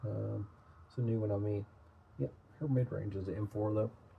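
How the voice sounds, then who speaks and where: A somewhat breathy voice with an American accent, at a fairly quick pace. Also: man. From Tennessee (Nashville). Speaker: trading card collector / YouTuber. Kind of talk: casual product review, card opening. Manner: casual, hesitant with fillers.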